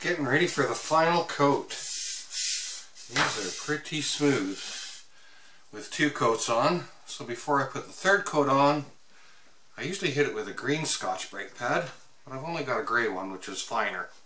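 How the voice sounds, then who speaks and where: A man's voice rises and falls sharply in loudness amid audible room echo, broken by long, frequent pauses. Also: moderate pace. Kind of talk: tutorial. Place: workshop.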